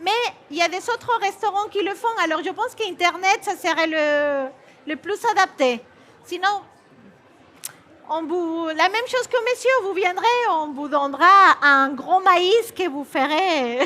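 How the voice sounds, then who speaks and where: Speaking at a very slow pace, a woman projects a raised voice with lively intonation at an extremely high pitch. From Peru. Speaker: chef. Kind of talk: cooking demonstration. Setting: stage with audience. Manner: halting.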